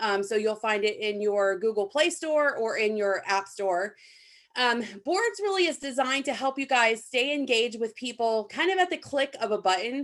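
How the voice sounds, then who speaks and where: Her speech has lively intonation and a fairly high pitch as this woman, with a plain, everyday voice, moves at a moderate pace. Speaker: app trainer. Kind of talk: tutorial.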